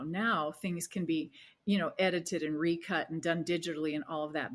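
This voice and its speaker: Speaking in an American accent, a woman has a fairly low pitch and ordinary pitch variation. The recording is very clean, with a silent background. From US Southwest, Arizona. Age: 60s. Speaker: wellness coach. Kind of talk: interview conversation. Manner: halting.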